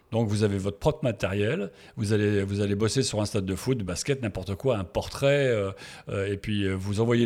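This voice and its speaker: Here a man speaks at a moderate pace and a fairly low pitch with ordinary pitch variation. The recording is very clean, with a silent background. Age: 60s. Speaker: sports photographer. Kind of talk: interview. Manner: halting.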